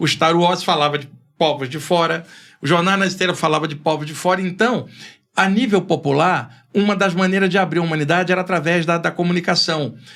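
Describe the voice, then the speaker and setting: Over music in the background, the speaker talks at a fairly quick pace with fairly even intonation. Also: man, high pitch for a man. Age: 60s. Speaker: spiritualist author. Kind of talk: podcast interview. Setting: studio.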